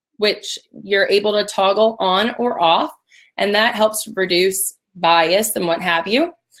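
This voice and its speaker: Energetic in tone, a woman speaks at a medium pitch with ordinary pitch variation. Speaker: recruiting sourcing expert. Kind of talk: webinar presentation. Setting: live webinar. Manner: casual, energetic.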